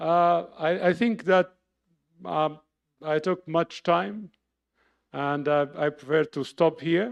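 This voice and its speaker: Speaking at a very slow pace with long, frequent pauses, a man with an Arabic accent uses a fairly high pitch and ordinary pitch variation. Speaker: professor. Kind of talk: lecture.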